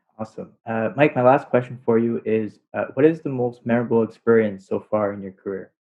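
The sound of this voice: Speaking at a fairly quick pace, a man uses a medium pitch and fairly even intonation.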